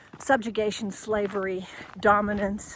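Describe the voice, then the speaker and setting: A woman talks at a fairly slow pace with a fairly high pitch. Noticeable background noise runs underneath. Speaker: leadership coach. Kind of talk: unscripted monologue. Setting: outdoors, hiking.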